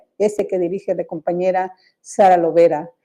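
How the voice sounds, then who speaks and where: A woman is speaking. Her tone is dark and mellow. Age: 70s. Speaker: journalist and gender activist. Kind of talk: radio interview. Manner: hesitant, many fillers.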